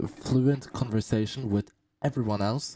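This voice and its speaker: With a non-native accent, a man speaks at a moderate pace in a dark, mellow tone, his pitch varying in an ordinary way, the sound dry and close with no echo. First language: not English. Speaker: gaming streamer. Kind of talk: video commentary. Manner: halting, repeats words.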